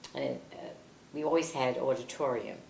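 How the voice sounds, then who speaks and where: A woman with a New York accent talks at a moderate pace in a very deep, low pitch with ordinary variation. Noticeable background noise is present. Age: 80s. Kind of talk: interview answer.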